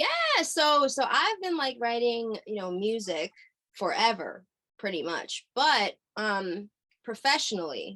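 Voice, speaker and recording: Speaking fairly slowly, a woman uses lively intonation and a bright, sharp tone. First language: Hungarian. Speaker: singer-songwriter. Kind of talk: interview. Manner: halting, many fillers.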